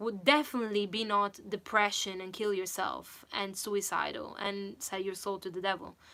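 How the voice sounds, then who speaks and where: At a moderate pace, a woman speaks in an animated, bright, sharp tone. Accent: non-native. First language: not English. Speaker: singer and vocal coach. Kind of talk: livestream chat.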